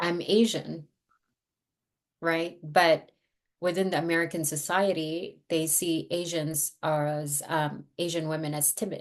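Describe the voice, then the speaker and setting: At a very slow pace, a woman with a Filipino accent speaks in a fairly low pitch with monotone, flat intonation. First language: Tagalog. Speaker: therapist. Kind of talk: interview.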